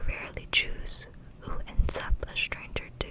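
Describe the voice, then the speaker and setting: A woman is whispering at a fairly slow pace. Noticeable background noise sits behind her. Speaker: ASMR creator. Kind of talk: book reading for sleep. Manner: whispered, soft-spoken.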